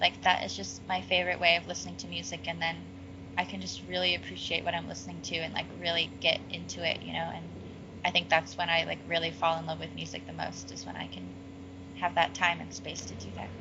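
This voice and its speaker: A woman with an American accent speaks at a fairly quick pace, with big swings in loudness. Noticeable background noise can be heard. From Seattle, US Pacific Northwest. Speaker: singer-songwriter. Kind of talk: interview.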